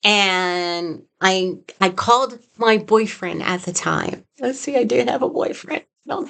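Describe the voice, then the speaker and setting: A woman's voice with lively intonation at a fairly slow pace. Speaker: psychic medium. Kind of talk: personal storytelling. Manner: halting.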